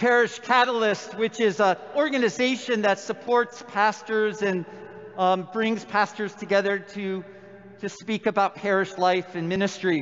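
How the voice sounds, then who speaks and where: Over noticeable background noise, a man with a high pitch speaks at a fairly slow pace with fairly even intonation. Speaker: priest. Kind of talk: sermon.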